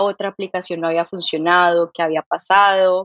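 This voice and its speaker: The sound is dry and close, with no echo. A woman talks at a medium pitch and a fairly quick pace. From Colombia, Santander. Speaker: startup founder and CEO. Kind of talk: interview conversation.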